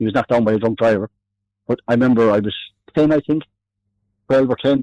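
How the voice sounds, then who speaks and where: With an Irish accent, the speaker talks at a very fast pace in a dark, mellow tone with fairly even intonation. The sound is dry and close, with no echo. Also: man. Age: 60s. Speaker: army veteran. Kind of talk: phone interview. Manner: halting. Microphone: delay on the line.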